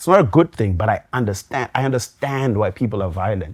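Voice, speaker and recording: A man's somewhat breathy voice at a moderate pace, dry and close with no echo, on a very clean recording with a silent background. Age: 40s. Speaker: DJ. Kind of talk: casual interview chat. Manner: hesitant, many fillers.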